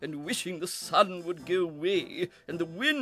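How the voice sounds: A natural reading voice is heard in this clip.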